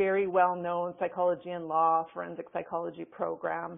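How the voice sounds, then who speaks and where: With a slight Canadian accent, a woman speaks at a moderate pace in a fairly low voice. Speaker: forensic psychologist and professor. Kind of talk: webinar lecture. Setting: webinar. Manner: casual, with many fillers.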